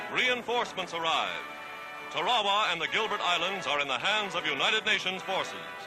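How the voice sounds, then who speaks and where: Over music in the background, a man speaks at a high pitch and a moderate pace. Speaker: newsreel narrator. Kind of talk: wartime newsreel narration.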